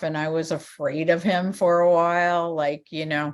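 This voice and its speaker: A woman with a normal speaking voice talks fairly slowly at a fairly low pitch. Her intonation is fairly even against a quiet background. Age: 60s. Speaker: former rock band manager and author. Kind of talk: casual interview.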